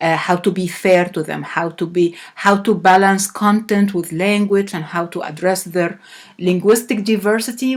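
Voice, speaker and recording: Speaking at a fairly slow pace with an Arabic accent, a woman uses a medium pitch and ordinary pitch variation. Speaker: professor. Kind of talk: lecture. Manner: halting.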